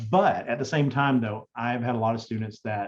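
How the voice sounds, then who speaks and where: A man speaks at a medium pitch. He has a slight Southern US accent. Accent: Southern US drawl, slight. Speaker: digital accessibility specialist. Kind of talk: conference Q&A.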